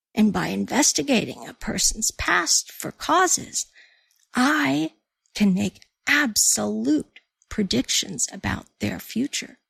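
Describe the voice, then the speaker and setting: Using a put-on character voice, a woman talks at a fairly slow pace and medium pitch, with a dry, close sound and no echo. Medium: read story. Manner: smooth, knowing.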